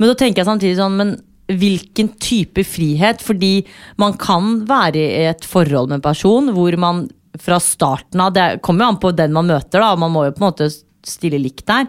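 Using a plain, everyday voice, a woman speaks at a moderate pace in a medium pitch, with lively intonation and very even loudness. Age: 20s. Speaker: podcast host. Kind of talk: casual chat.

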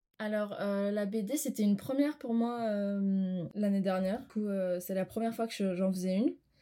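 A woman with a dark, mellow tone and a medium pitch speaks at a moderate pace with ordinary pitch variation and hardly any pauses. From Armenia. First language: Armenian (speaking French). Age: 20s. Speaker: art student. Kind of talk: interview.

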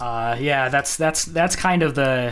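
At a fairly quick pace, a man talks in an ordinary speaking voice with ordinary pitch variation. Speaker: podcast host. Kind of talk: casual interview.

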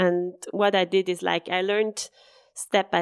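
The recording is very clean with a silent background and a dry, close sound with no echo, carrying a woman's medium-pitched voice. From Switzerland (Bassersdorf, Zurich area). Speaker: designer and entrepreneur. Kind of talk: interview, conversational.

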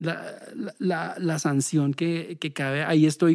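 In a very clean recording with a silent background, a man speaks with a dark, mellow tone. His pitch is fairly high and his intonation fairly even. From Bogotá, Colombia. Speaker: social work lecturer and musician. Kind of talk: interview conversation. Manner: halting, many repetitions.

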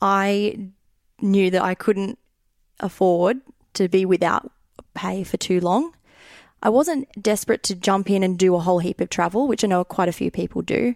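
A woman speaks at a medium pitch with ordinary pitch variation, leaving long, frequent pauses. The sound is dry and close, with no echo. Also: moderate pace, very clean recording, silent background. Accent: Australian. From Australia, Sydney. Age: 20s. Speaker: finance podcast listener living abroad. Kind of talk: casual interview.

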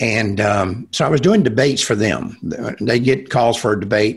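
Somewhat breathy, a man talks with a Texan accent. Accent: Texan American. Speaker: pro-life activist. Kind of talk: interview conversation.

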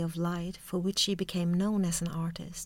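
A woman with a Swedish accent speaks at a moderate pace in a fairly low pitch, her intonation flat and monotone, on a very clean recording with a silent background. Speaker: art history lecturer, podcast co-host. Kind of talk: scripted narration. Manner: formal.

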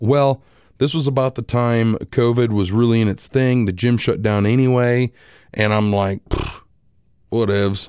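At a moderate pace and medium pitch, a man speaks with fairly even intonation in a very clean, dry, close recording with a silent background and no echo. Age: 40s. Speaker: podcast host and radio host. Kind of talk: casual personal monologue. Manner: halting, with fillers.

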